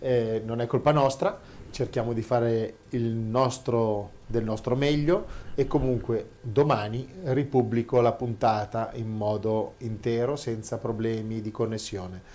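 Very slow in pace, a man speaks with a dark, mellow tone at medium pitch. His intonation stays fairly even. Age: 50s. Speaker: show host reading listener questions. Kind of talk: casual chat.

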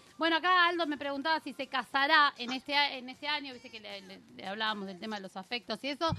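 A woman speaks at a very fast pace in a raised, projected voice with a high pitch, lively intonation, big swings in loudness and hardly any pauses, over noticeable background noise. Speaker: radio show host. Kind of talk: casual chat. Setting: radio studio. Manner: animated.

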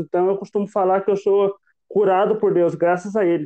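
Intonation stays fairly even as the man speaks at a fairly quick pace. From Brazil, southern Minas Gerais (Itajubá). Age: 20s. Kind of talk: faith testimony.

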